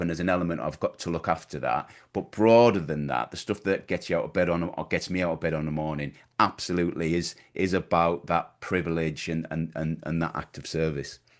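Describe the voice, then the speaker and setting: A man with a Teesside accent and a very deep, low pitch, at a fairly quick pace, over a quiet background. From northern England, Middlesbrough. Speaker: business coach. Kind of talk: podcast interview. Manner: halting, many repetitions.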